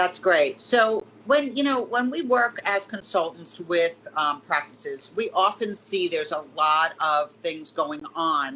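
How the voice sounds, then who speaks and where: With a New York accent, a woman at medium pitch uses very wide pitch swings and a fairly slow pace, with hardly any pauses. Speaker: business consultant and webinar host. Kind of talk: webinar interview.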